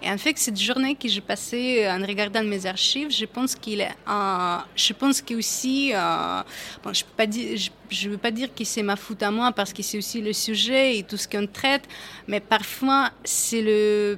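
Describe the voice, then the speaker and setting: Fairly slow speech from a woman with a fairly high pitch, a bright, sharp tone, fairly even intonation and a slight non-native accent. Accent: slight foreign. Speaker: photojournalist. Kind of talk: panel discussion.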